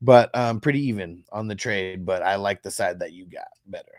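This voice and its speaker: A man speaks on a very clean recording with a silent background. The sound is dry and close, with no echo. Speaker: fantasy football streamer. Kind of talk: live stream Q&A, casual. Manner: fast; casual, relaxed.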